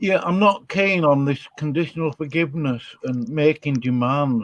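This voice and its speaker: Dry and close with no echo, a man with an unremarkable speaking voice talks at a moderate pace with ordinary pitch variation. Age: 60s. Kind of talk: casual chat.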